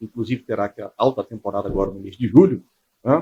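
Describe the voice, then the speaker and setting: Ordinary pitch variation at a fairly quick pace, in a dry, close sound with no echo. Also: man. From Espírito Santo, Brazil (Vila Velha). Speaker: military police commander. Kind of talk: interview.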